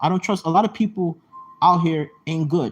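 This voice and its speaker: With music in the background, a man talks at a high pitch. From Jamaica. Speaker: YouTube live streamer. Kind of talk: casual livestream chat. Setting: live stream. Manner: halting, many restarts.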